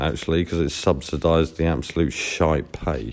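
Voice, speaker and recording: A man's very deep, low voice at a moderate pace. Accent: Norfolk. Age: 40s. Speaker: podcaster. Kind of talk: casual monologue storytelling.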